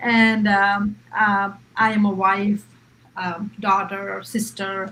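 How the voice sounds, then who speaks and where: Speaking very slowly at medium pitch, a woman with an Indian accent keeps a monotone, flat intonation. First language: Hindi. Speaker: public servant and online business owner. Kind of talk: live-stream panel discussion.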